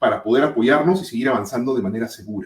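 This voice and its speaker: With a dark, mellow tone and lively intonation, a man talks at a fairly quick pace. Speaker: safety management consultant. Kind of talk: webinar presentation. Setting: online webinar. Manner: fast.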